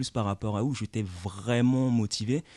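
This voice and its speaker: A man with an ordinary speaking voice, medium pitch and fairly even intonation, dry and close with no echo, over a quiet background. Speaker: lawyer and former martial arts champion. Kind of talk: radio interview.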